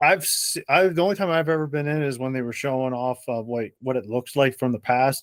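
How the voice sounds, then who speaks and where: In an American accent, this unremarkable speaking voice moves at a fairly quick pace with hardly any pauses and ordinary pitch variation, recorded with a dry, close sound with no echo. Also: man, medium pitch for a man. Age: 30s. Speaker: podcast host. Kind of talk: casual chat.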